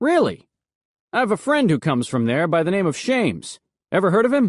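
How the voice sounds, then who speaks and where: Putting on a high-pitched character voice, a man talks at a fairly quick pace with very wide pitch swings and very even loudness over a quiet background. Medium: read story. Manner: blunt, wisecracking.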